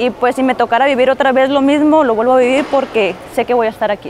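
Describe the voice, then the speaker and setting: A woman talks at a fairly quick pace in a high pitch with ordinary pitch variation, in a dry sound with no echo and light background noise. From Mexico, Tijuana; Mexico. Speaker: MMA fighter. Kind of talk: interview answers. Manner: casual, with fillers and repetitions. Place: studio. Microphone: lapel.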